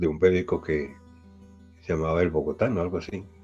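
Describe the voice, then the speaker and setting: Music plays behind a man with a very deep, low voice. He talks at a fairly quick pace with fairly even intonation. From Bogotá, Colombia. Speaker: radio news reader. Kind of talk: interview answer.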